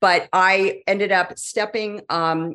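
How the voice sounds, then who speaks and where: With a Californian accent, a woman speaks with ordinary pitch variation against a quiet background. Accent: Californian American English. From California, Silicon Valley. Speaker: business strategy consultant. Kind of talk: interview.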